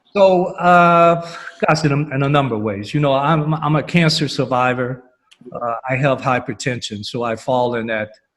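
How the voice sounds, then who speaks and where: In an American accent, a man with fairly high pitch and ordinary pitch variation speaks at a moderate pace in an unremarkable speaking voice. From US South, Alabama. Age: 60s. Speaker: panelist. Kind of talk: panel discussion.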